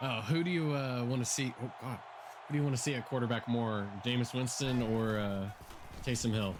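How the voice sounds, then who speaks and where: With an American accent, a man speaks at a fairly quick pace and medium pitch, with ordinary pitch variation and audible room echo. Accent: southern accent comes out when excited. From Oklahoma. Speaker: video game streamer. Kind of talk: live gaming stream chat. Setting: live stream from home. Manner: animated.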